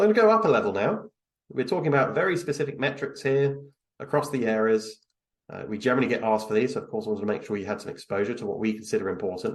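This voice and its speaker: At a very fast pace, a man with a fairly high pitch speaks in very wide pitch swings. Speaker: business executive presenting on risk management. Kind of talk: webinar presentation.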